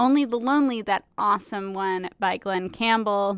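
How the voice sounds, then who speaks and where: A woman's medium-pitched voice, relaxed and warm in tone, at a moderate pace, on a very clean recording with a silent background. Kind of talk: radio DJ patter introducing country records between songs, station ID and show plugs. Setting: radio studio broadcast.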